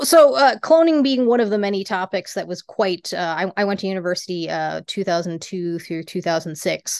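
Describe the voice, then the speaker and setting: A woman with an American accent and a normal speaking voice talks at a moderate pace and medium pitch with lively intonation, the sound dry and close with no echo. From US Rocky Mountain region. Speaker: venture investor. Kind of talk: casual chat.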